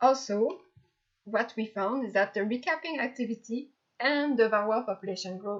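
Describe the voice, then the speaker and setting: A woman speaks at a fairly high pitch with a slight French accent. Her pitch variation is ordinary. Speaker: graduate student researcher. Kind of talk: lecture. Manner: halting, with fillers.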